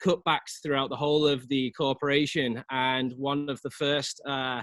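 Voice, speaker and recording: A man with a Liverpool accent speaks at a moderate pace. His fairly high voice holds a monotone, flat intonation. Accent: English (Liverpool), noticeable. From England, Liverpool. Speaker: real estate agent. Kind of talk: casual interview.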